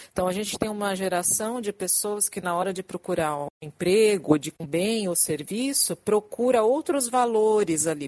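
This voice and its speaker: With a plain, everyday voice, a woman at medium pitch speaks at a moderate pace with lively intonation, and the sound is dry and close with no echo. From São Paulo, Brazil. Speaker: diversity and inclusion specialist. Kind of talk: podcast interview.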